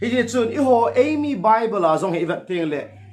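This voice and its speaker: A man's voice with very wide pitch swings, a moderate pace, and audible room echo. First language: Thadou-Kuki. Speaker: pastor. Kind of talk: sermon. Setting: livestream. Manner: halting.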